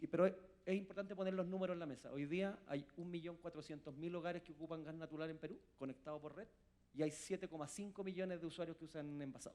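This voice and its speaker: Very fast and high-pitched, a man speaks with fairly even intonation. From Chile. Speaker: industry association president. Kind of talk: conference panel talk.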